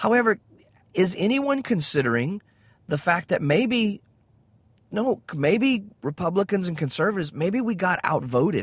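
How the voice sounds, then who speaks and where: Someone speaks in a Southern US accent with very wide pitch swings. The background is quiet. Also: man, high pitch for a man, moderate pace. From US South. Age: 40s. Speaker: podcast host. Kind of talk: religious commentary monologue. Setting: in a car. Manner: frequent filler words.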